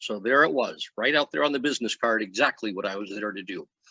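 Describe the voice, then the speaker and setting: The speaker is a man with an American accent. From California. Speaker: retired army linguist and author. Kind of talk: talk Q&A.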